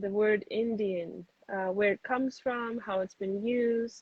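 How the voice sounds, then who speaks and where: Somewhat breathy, the speaker keeps a fairly even intonation. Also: woman. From Dominican Republic. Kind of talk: live-streamed discussion. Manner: halting, many fillers.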